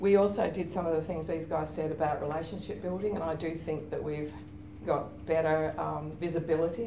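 A woman speaks in an Australian accent at a fairly low pitch. Her pace is fairly quick, with noticeable background noise. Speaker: university librarian; panelist. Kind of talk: conference panel presentation. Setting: stage with audience. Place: meeting room.

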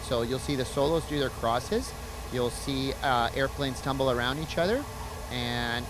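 Amid noticeable background noise, a man speaks at a fairly quick pace in a dry sound with no echo. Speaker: military demonstration pilot. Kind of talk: interview answer. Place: open country. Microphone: handheld.

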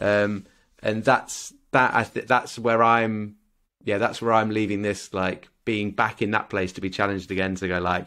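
A man's fairly low voice with a British accent against a quiet background. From UK. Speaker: podcast co-host. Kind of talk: casual chat. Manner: animated. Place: home room. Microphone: studio mic.

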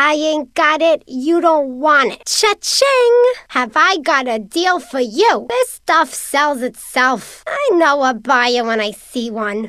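The speaker uses a put-on character voice at a fairly slow pace with hardly any pauses. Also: female-sounding voice, high pitch for a woman. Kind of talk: video game character lines. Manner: brash, pushy, impatient.

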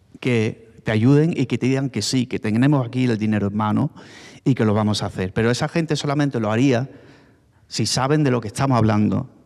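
A plain, everyday voice at a fairly quick pace with fairly even intonation over a quiet background. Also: man. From Málaga, Spain; Spain. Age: 40s. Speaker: former BMX rider; speaker. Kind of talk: panel talk. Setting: stage with audience. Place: hall. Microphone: handheld.

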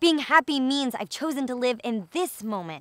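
A woman speaks at a moderate pace in a high voice with a bright, sharp tone. The sound is dry with no echo, and the background is quiet. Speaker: vegan lifestyle vlogger and poet. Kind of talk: spoken word poetry reading. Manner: emotive, empowering, rhythmic. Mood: emotional, earnest. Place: open country.

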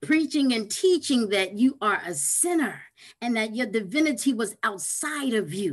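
A woman's fairly high, somewhat breathy voice at a moderate pace, with very wide pitch swings, in a quiet background. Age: 50s. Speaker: spiritual teacher; interview guest. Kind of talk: interview. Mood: passionate, preaching tone. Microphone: video call.

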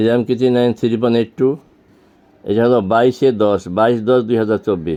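The man's medium-pitched voice has a dark, mellow tone. His intonation is fairly even and his loudness very even. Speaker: homeopathic practitioner, retired banker. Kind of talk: patient testimonial video, informal presentation.

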